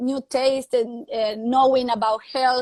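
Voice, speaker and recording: A woman with an Argentine accent speaks at a high pitch, recorded with a dry, close sound and no echo. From Argentina. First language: Spanish. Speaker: fitness coach and live show host. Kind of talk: live video chat interview. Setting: live video call. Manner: halting, non-native phrasing.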